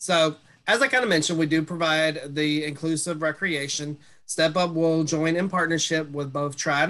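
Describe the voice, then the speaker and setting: The voice has a Mississippi accent and a bright, sharp tone. Its intonation stays fairly even. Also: man. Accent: Southern US (Mississippi). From Mississippi, US South. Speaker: social worker, transition specialist. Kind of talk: webinar presentation. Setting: video call. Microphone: webcam.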